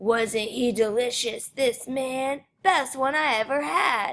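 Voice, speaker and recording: A woman uses a put-on character voice, growling at a high pitch. Her pace is fairly slow. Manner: shouting.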